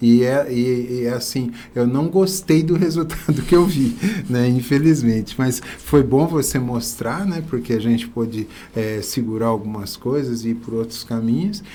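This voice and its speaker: A medium-pitched man at a fairly slow pace with lively intonation, amid noticeable background noise and audible room echo. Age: 60s. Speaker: business owner. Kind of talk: podcast interview. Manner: halting.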